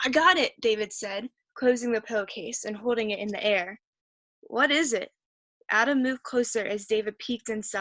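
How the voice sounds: Over quiet surroundings, a natural reading voice can be heard.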